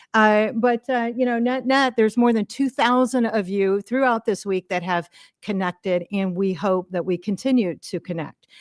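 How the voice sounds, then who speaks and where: A woman's plain, everyday voice at a fairly high pitch and moderate pace, with ordinary pitch variation, dry, close sound with no echo, and a very clean recording with a silent background. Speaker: event organizer and emcee. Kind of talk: opening remarks to a live audience. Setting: stage with audience.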